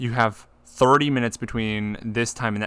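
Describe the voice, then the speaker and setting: The tone is bright and sharp, and the voice is loud. Intonation stays fairly even on a very clean recording with a silent background. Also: man. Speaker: podcast host. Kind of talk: casual chat.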